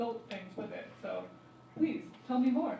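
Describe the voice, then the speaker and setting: A woman talks at a moderate pace, her voice echoing around the room amid noticeable background noise. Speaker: panel chair, academic. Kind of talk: panel discussion. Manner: loud.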